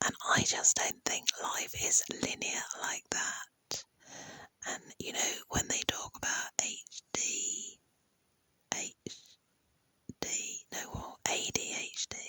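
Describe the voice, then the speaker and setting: A woman whispers at a very slow pace, leaving long, frequent pauses. The sound is dry and close, with no echo. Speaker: YouTube creator. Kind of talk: casual monologue. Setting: in bed at night. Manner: soft-spoken.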